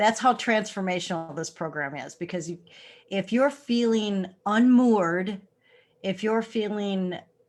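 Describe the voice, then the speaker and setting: Fairly slow pace in an ordinary speaking voice, pitch varying in an ordinary way. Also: woman, medium pitch for a woman. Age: 60s. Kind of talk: casual chat.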